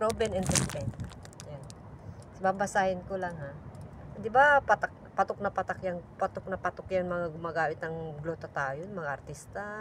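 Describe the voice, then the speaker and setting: Noticeable background noise runs beneath a woman whose intonation is lively. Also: fairly low pitch for a woman, moderate pace. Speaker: overseas domestic worker vlogger. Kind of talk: casual vlog product review. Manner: soft-spoken; halting.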